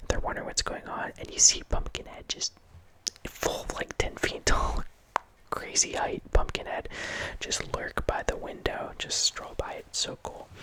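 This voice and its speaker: A man whispering at a fairly slow pace, with noticeable background noise. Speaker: horror movie ASMR host. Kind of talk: ASMR movie review ramble. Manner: whispered.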